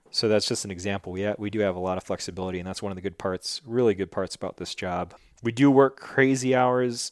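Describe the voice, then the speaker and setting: Dry and close with no echo, this recording has a man talking at a fairly quick pace in a plain, everyday voice with an American accent. His pitch is fairly low, with ordinary pitch variation. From western New York. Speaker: game warden and army veteran. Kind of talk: interview.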